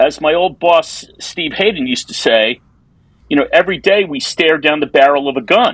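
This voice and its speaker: A man's fairly high voice with a New York accent and ordinary pitch variation. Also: moderate pace. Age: 60s. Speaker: advertising copywriter. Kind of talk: casual interview conversation.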